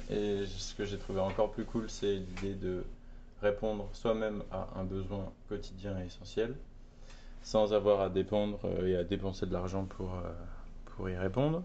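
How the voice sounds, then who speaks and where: A man talks at a fairly slow pace with fairly even intonation and long, frequent pauses. Audible room echo surrounds his voice. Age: 20s. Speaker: artisan soap maker, entrepreneur. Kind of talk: interview. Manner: hesitant, many fillers.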